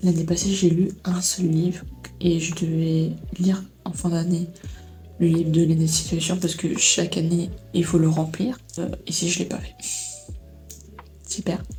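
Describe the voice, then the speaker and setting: A soft-spoken woman with a fairly low pitch talks at a fairly slow pace in a flat monotone, with long, frequent pauses, audible room echo and music in the background. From Belgium. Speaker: vlogger. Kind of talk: casual vlog chat. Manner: halting.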